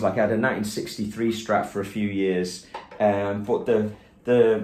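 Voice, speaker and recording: A man with a Liverpool accent, medium pitch and a moderate pace, in audible room echo. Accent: Liverpool (Scouse) English. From England, Liverpool. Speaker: guitarist and guitar teacher. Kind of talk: casual studio tour walkthrough. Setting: home teaching studio. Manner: relaxed, with many fillers.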